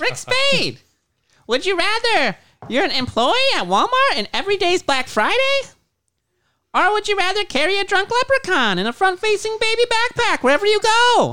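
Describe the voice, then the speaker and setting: A put-on character voice is pitched extremely high and moves at a moderate pace. The recording is very clean, with a silent background. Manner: goofy, cartoonish.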